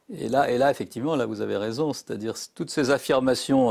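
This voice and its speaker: This man keeps a moderate pace. His pitch variation is ordinary. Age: 60s. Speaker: psychiatrist and psychoanalyst. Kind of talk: interview. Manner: halting.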